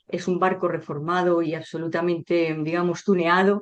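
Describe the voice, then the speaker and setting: Her voice sits fairly low. The woman's delivery stays flat and monotone. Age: 60s. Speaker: sociologist and author. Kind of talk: interview.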